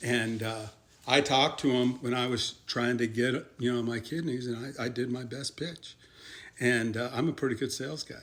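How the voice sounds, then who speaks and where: A man speaks at medium pitch and a moderate pace with fairly even intonation. He has an unremarkable speaking voice. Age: 60s. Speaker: kidney transplant patient sharing advice. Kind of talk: informal instructional talk. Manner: casual and conversational.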